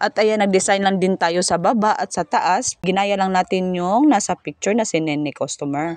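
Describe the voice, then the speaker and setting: At a moderate pace, a woman talks at a medium pitch with ordinary pitch variation, the sound dry and close with no echo against a quiet background. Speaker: home baker. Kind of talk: voice-over tutorial. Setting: at home. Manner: loud.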